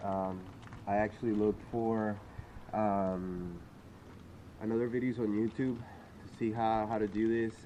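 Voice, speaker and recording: A man's fairly low-pitched voice with a dark, mellow tone, at a fairly slow pace with long, frequent pauses. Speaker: home car mechanic. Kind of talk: casual DIY tutorial talk. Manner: hesitant, many fillers.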